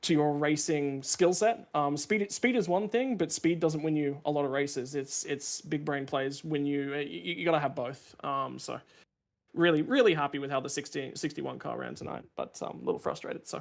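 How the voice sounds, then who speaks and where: A man's fairly high voice at a moderate pace, on a very clean recording with a silent background. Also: ordinary pitch variation. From Australia. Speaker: sim racing driver. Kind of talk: post-race interview. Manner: hesitant, many fillers and repeats.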